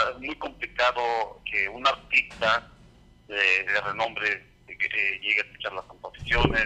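He speaks at a very slow pace. The voice belongs to a man. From Mexico, Hidalgo. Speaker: songwriter. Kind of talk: interview. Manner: halting.

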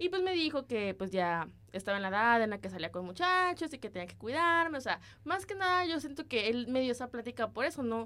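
Talking at a fairly quick pace, a woman with a high pitch and a bright, sharp tone makes very wide pitch swings. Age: 20s. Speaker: podcast co-host, student. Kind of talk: casual chat.

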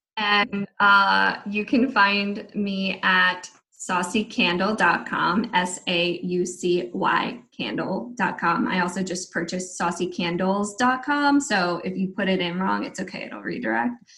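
A very slow voice with ordinary pitch variation that runs on with hardly any pauses. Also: woman, medium pitch for a woman. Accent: American. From DC, Maryland, Virginia area. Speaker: candle maker with a side business. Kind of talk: casual interview chat. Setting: video call.

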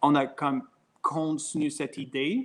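Very slowly, a man speaks with an English accent. His pitch variation is ordinary. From Quebec, Covey Hill / Franklin area (anglophone community). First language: English (speaking French). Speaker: brewery owner and brewer. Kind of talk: interview. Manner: halting, many hesitations.

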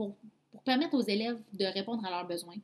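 This woman's voice is somewhat breathy. It sits fairly high in pitch. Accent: Quebec. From Quebec, Abitibi-Témiscamingue. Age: 20s. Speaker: podcast host, MLM entrepreneur. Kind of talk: personal testimony.

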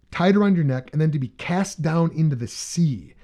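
This man talks at a fairly quick pace with a fairly high pitch. His tone is dark and mellow, with ordinary pitch variation. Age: 30s. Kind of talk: casual chat with Bible teaching.

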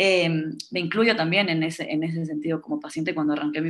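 Her pitch fairly low, a woman speaks at a moderate pace with fairly even intonation. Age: 20s. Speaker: psychotherapist. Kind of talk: casual chat. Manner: halting, many repetitions.

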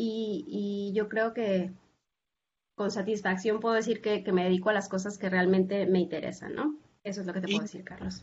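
Speaking at a moderate pace, a woman of medium pitch sounds somewhat breathy. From Mexico, Zacatecas. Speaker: professor. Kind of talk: interview. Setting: video call. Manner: halting.

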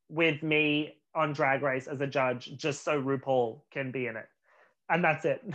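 Speaking at a fairly slow pace in an Australian accent, a man uses fairly even intonation and a fairly high pitch. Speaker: actor. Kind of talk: casual chat.

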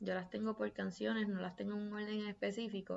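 Fairly even in intonation, a woman talks at a medium pitch. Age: 20s. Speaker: podcast host. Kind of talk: casual monologue.

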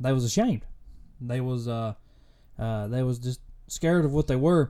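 A man with a Kentucky accent, a dark, mellow tone, medium pitch, ordinary pitch variation and a moderate pace. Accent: Kentucky Southern US. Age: 20s. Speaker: faith and fitness podcast host. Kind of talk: casual solo podcast monologue. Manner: halting, many fillers.

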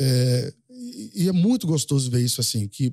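A man speaks at a medium pitch with a dark, mellow tone, somewhat breathy, and ordinary pitch variation. The recording is very clean, dry and close with no echo, over a silent background. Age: 50s. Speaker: rural livestock auctioneer. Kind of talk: casual interview chat.

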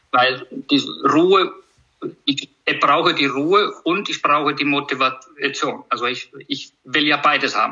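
A man speaks with an Icelandic accent. His pace is fairly slow. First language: Icelandic (speaking German). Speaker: horse trainer. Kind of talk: casual conversation interview. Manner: halting, many repetitions.

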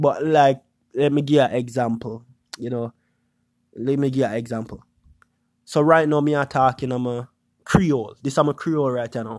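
With long, frequent pauses, a man speaks at a medium pitch and moderate pace with fairly even intonation. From Jamaica. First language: Jamaican Patois. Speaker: YouTuber podcast host. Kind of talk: casual monologue podcast. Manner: casual, hesitant with filler words.

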